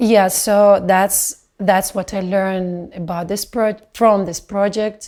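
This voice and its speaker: A woman with a non-native accent talks at a very slow pace. Her intonation is fairly even, and there are hardly any pauses. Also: medium pitch for a woman. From Belarus. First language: not English. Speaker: dancer. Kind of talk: video testimony reflection. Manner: halting.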